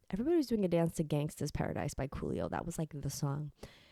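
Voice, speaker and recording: Recorded very cleanly against a silent background, a woman in an American accent has a dark, mellow tone, a fairly low pitch and ordinary pitch variation. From New York City, Queens. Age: 30s. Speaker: YouTuber, music fan historian. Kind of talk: casual Q&A monologue. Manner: chatty, casual with many fillers.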